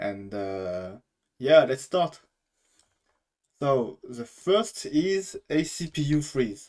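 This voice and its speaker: Speaking in a strong French accent, the voice moves at a very slow pace with long, frequent pauses. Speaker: gaming YouTuber. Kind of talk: casual talk to camera. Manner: hesitant, many fillers.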